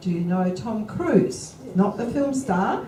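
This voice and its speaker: A woman with an Australian accent speaks fairly slowly at a medium pitch, her intonation lively against noticeable background noise. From Adelaide, South Australia. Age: 70s. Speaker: author and public speaker on outback life. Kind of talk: after-lunch talk to a club audience. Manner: chatty, anecdotal.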